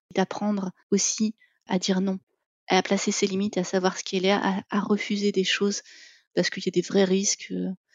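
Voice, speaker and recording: Fairly quick, flat, monotone speech from a woman at a medium pitch. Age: 40s. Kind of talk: testimony interview. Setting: remote call. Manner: hesitant, many fillers.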